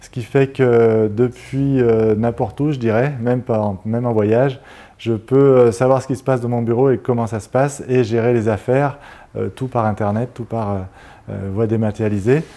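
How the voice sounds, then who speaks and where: This man's tone is dark and mellow. He keeps a fairly slow pace with fairly even intonation. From France, Grenoble (Isère); France. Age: 50s. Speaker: mayor and surveyor; newly appointed town mayor. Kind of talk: interview. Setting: TV studio set. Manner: halting, many hesitations. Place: studio. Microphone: lapel.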